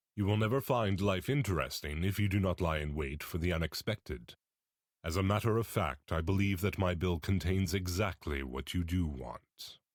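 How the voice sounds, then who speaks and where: Putting on a character voice, a man speaks very deep and low at a moderate pace with ordinary pitch variation, in a very clean recording with a silent background. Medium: read story. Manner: earnest, courteous.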